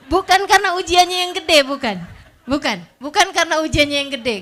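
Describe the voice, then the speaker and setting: Her tone is bright and sharp. This woman's voice is raised and projected. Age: 40s. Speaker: female Islamic preacher. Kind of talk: religious lecture. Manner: casual, conversational.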